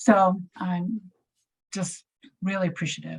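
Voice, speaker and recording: A woman with a Japanese accent, fairly low in pitch, somewhat breathy, with monotone, flat intonation. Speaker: community health grant staff. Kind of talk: informational presentation. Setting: video call. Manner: halting.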